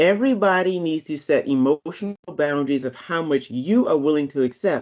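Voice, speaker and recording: A woman speaks with a very deep, low pitch. Her pitch variation is ordinary and her pace fairly quick. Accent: American. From Virginia, US. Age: 60s. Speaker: wellness speaker. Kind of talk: presentation. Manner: animated.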